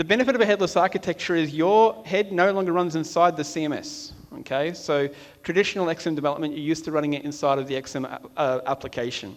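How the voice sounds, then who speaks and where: Speaking at a very fast pace, a man with an Australian accent has a fairly high pitch and ordinary pitch variation. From Australia (Melbourne). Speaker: software architect. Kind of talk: conference talk. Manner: casual, with frequent fillers.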